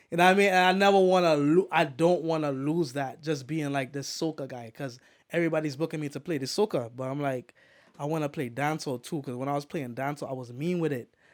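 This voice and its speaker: Over a very clean, silent background, a man talks at a very fast pace, fairly high-pitched with ordinary pitch variation. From Trinidad. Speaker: DJ. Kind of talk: casual chat. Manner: animated.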